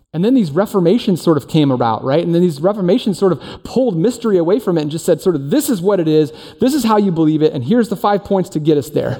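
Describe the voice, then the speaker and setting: A man's high voice at a very fast pace, lively in intonation, over noticeable background noise. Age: 40s. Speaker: teaching pastor. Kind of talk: sermon. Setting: church service in performing arts center. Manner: casual, conversational.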